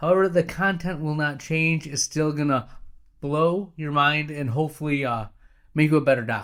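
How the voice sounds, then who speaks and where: Delivery comes at a moderate pace with ordinary pitch variation. The recording is very clean, with a silent background. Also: man, fairly high pitch for a man. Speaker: podcast host, optometrist practice owner. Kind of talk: solo podcast monologue, practice advice. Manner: animated.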